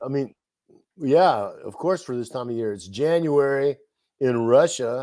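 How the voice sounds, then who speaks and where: Speaking in a Texan accent, a man with a dark, mellow tone and medium pitch talks at a fairly slow pace, with ordinary pitch variation, big swings in loudness, and long, frequent pauses. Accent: Texan American. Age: 60s. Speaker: interview guest. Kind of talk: casual chat.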